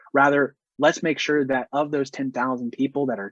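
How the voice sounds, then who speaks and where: A man with a medium-pitched voice speaks at a fairly quick pace in a dry, close sound with no echo. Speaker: marketing software sales engineer. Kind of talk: webinar presentation. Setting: online webinar. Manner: fast.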